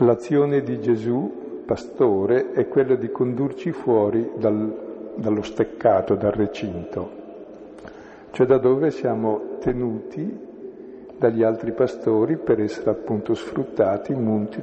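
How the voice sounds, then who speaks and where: A man speaks fairly slowly, with long, frequent pauses, over noticeable background noise. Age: 70s. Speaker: priest leading a bible study. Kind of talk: bible study lecture.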